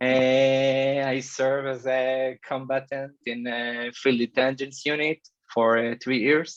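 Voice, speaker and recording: Here a man talks at a medium pitch and a very slow pace. His intonation is monotone and flat. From Israel, Haifa area. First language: Hebrew. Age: 30s. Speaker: security engineer. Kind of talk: presentation talk. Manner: hesitant, many filler uhs.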